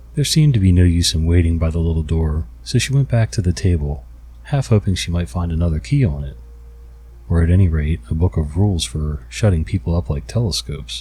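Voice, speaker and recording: A man speaks at a fairly quick pace in a very deep, low pitch with very wide pitch swings. His tone is dark, mellow, and somewhat breathy. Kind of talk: ASMR story reading; bedtime story reading. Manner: soft, quiet, relaxing.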